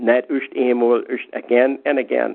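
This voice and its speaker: A man talks with a Pennsylvania Dutch accent. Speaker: lay minister. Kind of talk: devotional talk. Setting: phone call.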